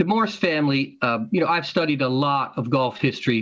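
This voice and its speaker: A man with a normal speaking voice at fairly high pitch and a fairly quick pace. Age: 60s. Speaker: golf historian and author. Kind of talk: interview. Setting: podcast recording.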